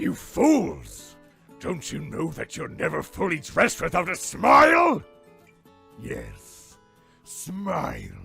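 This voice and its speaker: A raspy put-on character voice at a fairly slow pace, faint music in the background. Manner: menacing, theatrical.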